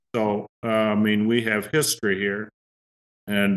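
A man talks in a normal speaking voice, fairly low in pitch and at a fairly slow pace. The recording is dry and close with no echo, over a quiet background. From US Midwest, northwest Ohio. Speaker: farmer. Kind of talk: interview.

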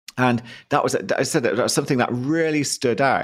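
A man speaks with a British accent at a medium pitch and a moderate pace. The recording is very clean, with a silent background. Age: 50s. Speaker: podcast host, mindset coach. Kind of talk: interview.

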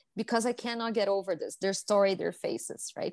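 A woman with a Brazilian accent and fairly high pitch speaks at a moderate pace, the sound dry and close with no echo against a quiet background. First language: Portuguese. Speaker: hospitality education executive. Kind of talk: podcast interview.

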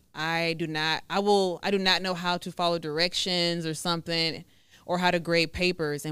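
In an American accent, a woman speaks at a fairly low pitch. Her intonation stays fairly even. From Texas, Waco area. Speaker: notary and YouTuber. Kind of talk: casual interview chat.

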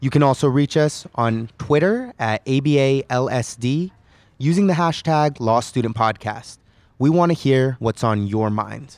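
An ordinary speaking voice from a man with an American accent, medium in pitch with ordinary pitch variation, at a fairly slow pace against a quiet background. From California. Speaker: podcast host, recent law graduate. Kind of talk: casual interview.

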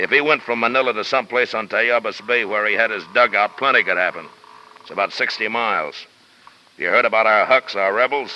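A gruff put-on character voice from a man, medium in pitch, fairly even in intonation, at a fairly quick pace. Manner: gruff, blunt, irritable.

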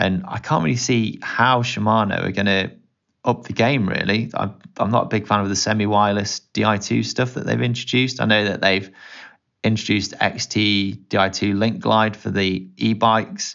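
Using a fairly low pitch with vocal fry, a man speaks at a moderate pace with fairly even intonation. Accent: British. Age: 30s. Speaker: bike video presenter. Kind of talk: casual chat.

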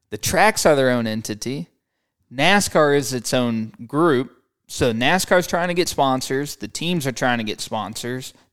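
A man with an American accent speaks at a medium pitch with lively intonation, captured in a very clean recording against a silent background. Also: fairly slow pace. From US Midwest, St. Louis, Missouri. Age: 20s. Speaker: racing driver. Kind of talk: interview.

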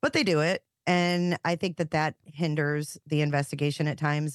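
Against a quiet background, a woman talks at a moderate pace in a dry, close sound with no echo. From US Midwest, Michigan. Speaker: true crime YouTuber. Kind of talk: casual interview.

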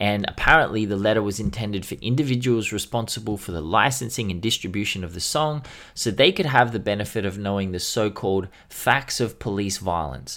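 With an Australian accent and a fairly low pitch, a man talks with hardly any pauses on a very clean recording with a silent background. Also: ordinary pitch variation, fairly quick pace. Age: 30s. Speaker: hip-hop podcast co-host. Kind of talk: casual chat.

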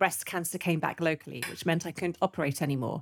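Speaking with a British accent, a woman uses a fairly low pitch and ordinary pitch variation, in a very clean recording with a silent background and a dry, close sound with no echo. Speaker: retired breast surgeon, cancer survivor. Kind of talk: casual interview.

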